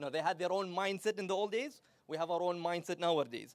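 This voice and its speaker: Loud speech comes at a moderate pace. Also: man. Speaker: psychology speaker. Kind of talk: talk to live audience. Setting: stage with audience. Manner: animated.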